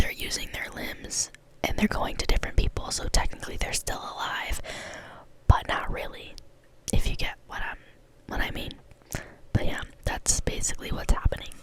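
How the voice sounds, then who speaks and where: Whispering through noticeable background noise, the speaker leaves long, frequent pauses, and loudness swings widely. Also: woman. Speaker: ASMR creator. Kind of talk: casual talk to camera. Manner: soft-spoken, slow, soothing.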